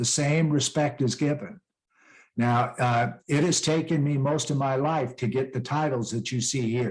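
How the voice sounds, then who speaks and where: Keeping a moderate pace, a man speaks with very even loudness, fairly even intonation and a somewhat breathy quality. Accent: western US. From western US (Rocky Mountains). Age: 60s. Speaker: peace ambassador and author. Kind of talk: interview. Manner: conversational, motivational.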